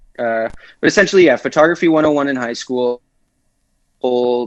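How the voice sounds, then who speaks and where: A man talks in a medium pitch with a slight Canadian accent and ordinary pitch variation. The sound is dry and close with no echo. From Canada, Toronto. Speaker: photographer. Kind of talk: casual interview chat.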